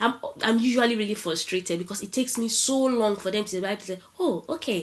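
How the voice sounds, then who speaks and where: A woman speaks at a medium pitch. She has a strong Nigerian accent. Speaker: marketing professional. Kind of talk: panel talk. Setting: online event. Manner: casual, conversational.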